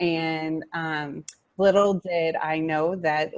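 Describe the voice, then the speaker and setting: A woman's very deep, low voice, dry and close with no echo, with fairly even intonation. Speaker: adoptive mother. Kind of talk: casual group discussion.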